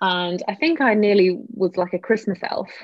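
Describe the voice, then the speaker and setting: A woman at medium pitch and a moderate pace, with a normal speaking voice. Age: 20s. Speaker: founding editor of online magazine. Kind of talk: interview.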